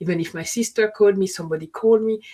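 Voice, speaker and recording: With a dark, mellow tone, a woman speaks at a medium pitch and with fairly even intonation. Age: 50s. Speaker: panelist sharing personal story. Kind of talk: casual chat. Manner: halting, with frequent false starts.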